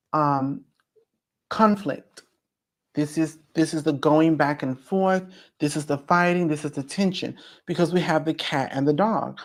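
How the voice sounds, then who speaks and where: Using long, frequent pauses, a woman speaks at a fairly slow pace in a very deep, low voice with ordinary pitch variation. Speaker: spiritual teacher. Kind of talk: online class. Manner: loud; animated.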